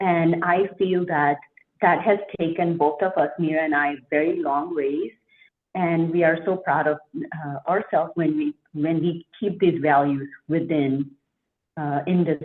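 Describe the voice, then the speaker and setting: A woman speaks with a non-native accent at a fairly low pitch. Her pace is fairly slow and her intonation fairly even. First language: not English. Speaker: franchise owner. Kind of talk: interview.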